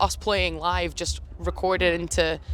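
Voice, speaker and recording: Someone speaks with a Scottish accent while music plays in the background. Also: woman. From Scotland, Edinburgh (Leith). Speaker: singer-songwriter. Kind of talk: casual interview. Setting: music festival.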